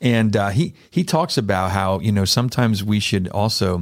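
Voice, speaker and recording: An unremarkable speaking voice from a man at fairly low pitch and moderate pace, in a very clean recording with a silent background. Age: 50s. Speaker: podcast host. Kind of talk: casual chat. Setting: studio.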